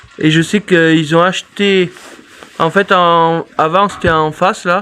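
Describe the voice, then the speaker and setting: Very slowly, a man speaks at a high pitch in a monotone, flat intonation. His loudness stays very even against noticeable background noise. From Drôme, France. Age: 30s. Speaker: goat farmer. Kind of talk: casual Q&A chat.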